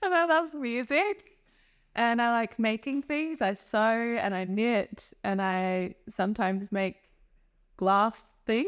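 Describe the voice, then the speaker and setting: A woman speaks very slowly in a fairly high voice with an Australian accent and lively intonation. The recording is very clean, with a silent background. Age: 30s. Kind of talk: interview answer.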